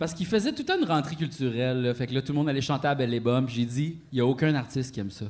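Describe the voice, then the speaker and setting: An animated man with a fairly high voice talks at a very fast pace with ordinary pitch variation. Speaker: podcast co-host. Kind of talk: live podcast with audience. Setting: stage with audience.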